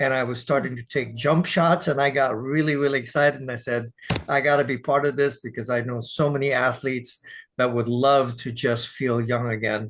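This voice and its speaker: A man with an American accent talks in a normal speaking voice, at a fairly quick pace and with fairly even intonation. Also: medium pitch for a man. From Texas. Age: 60s. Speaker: dance teacher and sales partner. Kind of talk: casual interview.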